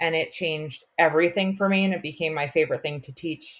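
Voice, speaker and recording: With a Long Island accent, a woman talks at a very deep, low pitch and ordinary pitch variation. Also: very clean recording, silent background. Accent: Long Island New York. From US Northeast, Long Island, New York. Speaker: elementary school teacher. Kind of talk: podcast interview.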